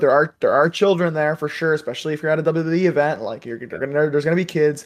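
A very fast voice with a Canadian accent against a quiet background. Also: man. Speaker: wrestling podcast co-host. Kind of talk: casual chat. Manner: animated.

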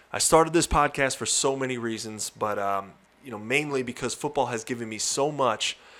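The speaker is a man. He has an American accent. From Long Island, New York. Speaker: podcast host, former college football player and coach. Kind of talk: podcast intro monologue.

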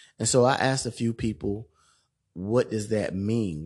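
With an ordinary speaking voice, a man talks at a moderate pace and fairly low pitch with ordinary pitch variation over a quiet background. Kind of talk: solo monologue podcast.

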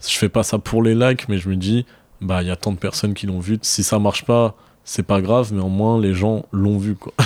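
A man speaks at a moderate pace in an ordinary speaking voice, fairly low in pitch with fairly even intonation, on a very clean recording with a silent background and a dry, close sound with no echo. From Marseille, southern France. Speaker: rapper and student. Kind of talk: casual interview. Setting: at the guest's home.

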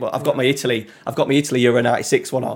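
A man speaks with a Yorkshire accent. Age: 30s. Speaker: content creator. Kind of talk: casual chat.

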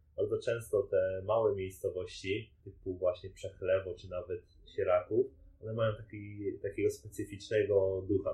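A man talking at a fairly slow pace. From Poland, Częstochowa. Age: 20s. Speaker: professional triathlete. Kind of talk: interview.

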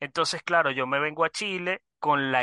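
A man with a fairly high pitch and a bright, sharp tone speaks at a moderate pace. The sound is dry and close with no echo, over a quiet background. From Venezuela. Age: 30s. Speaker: online business student. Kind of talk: interview.

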